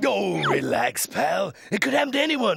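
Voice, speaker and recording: A man's cartoonish character voice, high in pitch, over light background noise. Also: moderate pace. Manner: casual, breezy.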